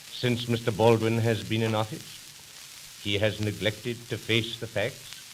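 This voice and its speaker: Noticeable background noise accompanies a man speaking at a fairly slow pace in a medium pitch. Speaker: politician, party leader. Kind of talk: political campaign speech. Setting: old 1929 recording.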